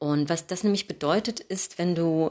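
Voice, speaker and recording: In a very clean recording with a silent background, a woman with a very deep, low voice speaks fairly slowly with ordinary pitch variation. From Hamburg, northern Germany. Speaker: yoga teacher. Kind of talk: podcast monologue, advice.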